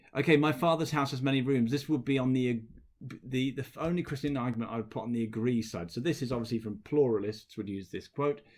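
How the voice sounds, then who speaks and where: Delivered at a very fast pace, this voice has a British accent and ordinary pitch variation. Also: man, medium pitch for a man. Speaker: teacher. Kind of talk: lecture.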